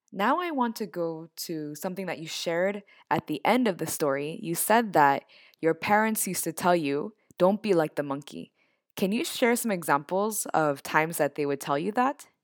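An unremarkable speaking voice from a woman with an American accent, fairly low in pitch, lively in intonation, at a moderate pace, with dry, close sound, no echo, and a very clean recording over a silent background. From US (born in Japan, immigrant child). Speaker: university lecturer and podcast co-host. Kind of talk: interview conversation.

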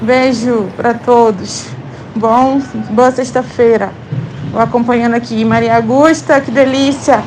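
A woman speaks at a high pitch and a fairly slow pace, with long, frequent pauses. Her intonation is fairly even, and there is noticeable background noise. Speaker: podcast community member. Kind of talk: casual voice message. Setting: outdoors, walking to school.

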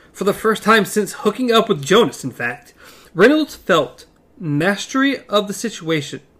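The voice heard here reads in an unforced way.

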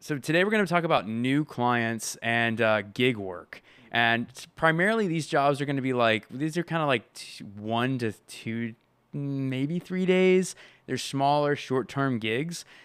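Using a plain, everyday voice, a man speaks at a fairly slow pace and medium pitch with lively intonation. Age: 30s. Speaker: freelance filmmaker and podcast co-host. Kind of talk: casual chat.

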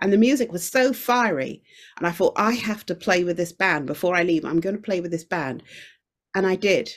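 A woman talks with a British accent at medium pitch. Her pace is fairly quick and her intonation lively. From UK, Jamaican heritage. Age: 50s. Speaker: singer-songwriter and podcast producer. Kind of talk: casual interview chat. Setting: video call from China.

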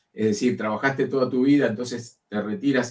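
The speaker is a man. His pitch is medium. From Uruguay. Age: 60s. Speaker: career change speaker. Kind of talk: interview. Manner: loud; halting.

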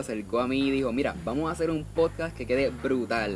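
Over noticeable background noise, a man at medium pitch speaks with lively intonation. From Puerto Rico. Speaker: podcast host. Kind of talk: casual interview; scripted show outro.

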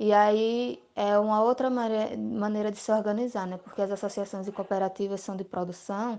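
This is a normal speaking voice with fairly even intonation. The background is quiet. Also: woman. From Brazil, Alagoas (Arapiraca). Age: 20s. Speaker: family farmer and rural union youth secretary. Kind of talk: interview.

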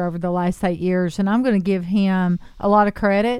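On a very clean recording with a silent background, a woman with a plain, everyday voice speaks at a moderate pace, medium in pitch with fairly even intonation. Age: 50s. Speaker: local politician, candidate for county mayor. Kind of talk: radio interview.

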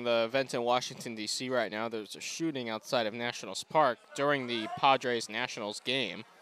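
Fairly quick speech from a man at medium pitch, fairly even in intonation, with noticeable background noise. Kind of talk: live sports commentary.

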